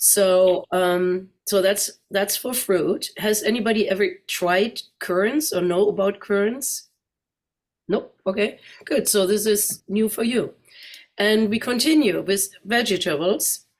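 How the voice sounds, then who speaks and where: In a German accent, a woman speaks very slowly at a medium pitch, her pitch varying in an ordinary way. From Germany, Neuss (Rhineland). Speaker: guest speaker. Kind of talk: presentation. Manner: conversational.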